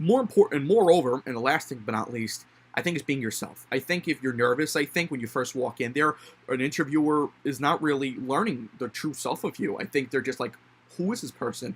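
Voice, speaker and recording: A man talks at a fairly quick pace with a fairly high pitch. His pitch variation is ordinary. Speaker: college student. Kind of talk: casual monologue. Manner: fast; halting.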